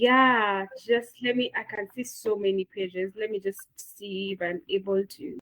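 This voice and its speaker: In a Kenyan accent, a woman talks in an animated tone at a fairly high pitch. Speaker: webinar moderator. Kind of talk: online session wrap-up. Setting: video call.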